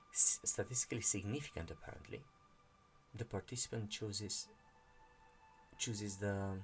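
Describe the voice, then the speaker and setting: A man with a non-native accent, fairly low pitch, fairly even intonation, a moderate pace and long, frequent pauses, with music in the background. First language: not English. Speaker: channel host reading and discussing a meditation book. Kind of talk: explanatory monologue. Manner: halting, many fillers and restarts.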